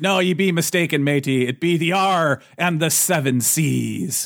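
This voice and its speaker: Putting on a character voice, a man pitches it fairly high. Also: moderate pace. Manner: playful, joking.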